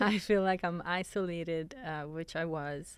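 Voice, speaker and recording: A woman with an Italian accent speaks at a fairly slow pace in a very clean recording with a silent background. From Italy. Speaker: fitness coach. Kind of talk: interview.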